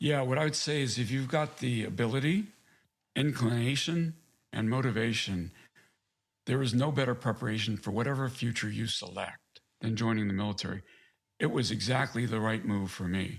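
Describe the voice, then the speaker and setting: In a plain, everyday voice with an American accent, a man talks at a moderate pace and medium pitch with ordinary pitch variation. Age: 60s. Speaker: navy veteran, author. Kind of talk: interview.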